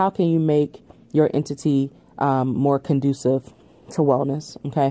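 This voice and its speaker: A woman with a very deep, low voice speaks at a fairly slow pace, her intonation fairly even. Her loudness stays very even, and the sound is dry and close with no echo. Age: 30s. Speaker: podcast host and wellness coach. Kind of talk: casual solo Q&A monologue.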